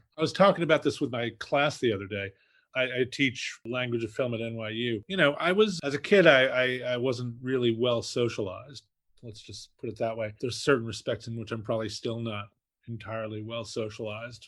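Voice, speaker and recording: Speaking at a fairly quick pace in a New York accent, a man shows ordinary pitch variation and big swings in loudness. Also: medium pitch for a man, quiet background. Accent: New York area American. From New Jersey (Fort Lee). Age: 60s. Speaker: film critic and author. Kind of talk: interview. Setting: podcast interview.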